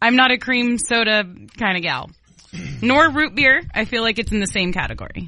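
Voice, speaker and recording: With music playing in the background, a woman speaks at a fairly high pitch. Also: ordinary pitch variation, moderate pace. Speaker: radio co-host. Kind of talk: casual chat. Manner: enthusiastic, friendly.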